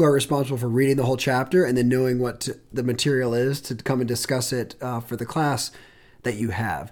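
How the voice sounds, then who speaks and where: A man with an unremarkable speaking voice talks at a medium pitch and fairly quick pace. The recording is very clean, with a silent background. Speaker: admissions counselor podcast host. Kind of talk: casual chat.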